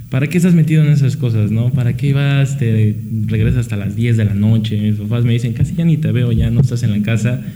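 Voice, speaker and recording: At a fairly quick pace, a man speaks with medium pitch and ordinary pitch variation. There is audible room echo and noticeable background noise. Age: 20s. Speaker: accounting student, party youth member. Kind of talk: radio interview.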